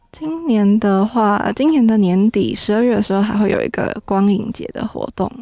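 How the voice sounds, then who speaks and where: With a normal speaking voice, a woman talks at a fairly high pitch, hardly any pauses breaking her speech, the sound dry with no echo and the background quiet. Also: ordinary pitch variation, moderate pace. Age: young. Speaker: city tourism official; radio guest. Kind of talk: interview. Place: studio.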